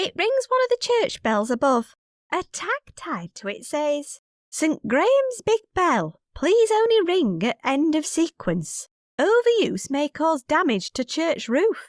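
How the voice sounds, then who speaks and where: In a squeaky, put-on character voice at an extremely high pitch, the speaker goes at a fairly slow pace with very wide pitch swings. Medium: video game. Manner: dry, sarcastic.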